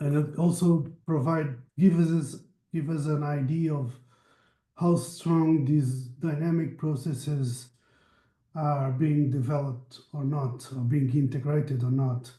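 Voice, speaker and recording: A man speaks at a fairly high pitch in a dark, mellow, somewhat breathy tone with fairly even intonation. There is audible room echo. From Portugal. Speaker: meeting moderator, researcher. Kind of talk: online project meeting discussion. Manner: halting, self-correcting.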